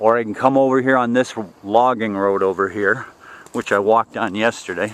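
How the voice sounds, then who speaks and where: An ordinary speaking voice moves at a fairly quick pace, with fairly even intonation. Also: man, medium pitch for a man. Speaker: vlogger doing land clearing work. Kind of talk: walking tour vlog. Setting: outdoors, walking on a worksite. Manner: casual, conversational.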